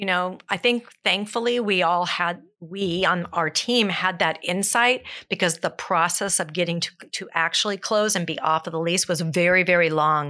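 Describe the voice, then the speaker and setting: Speaking at a moderate pace in a Californian accent, a woman keeps a fairly low pitch with ordinary pitch variation. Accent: Californian American. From Southern California (South Pasadena). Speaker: fitness instructor and gym owner. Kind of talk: casual interview.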